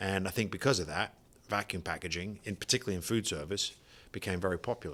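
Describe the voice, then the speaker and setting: In a British accent, a man speaks at a very fast pace with a very deep, low pitch and ordinary pitch variation. The recording is very clean, with a silent background. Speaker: vacuum sealer distributor, company founder. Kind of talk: podcast interview.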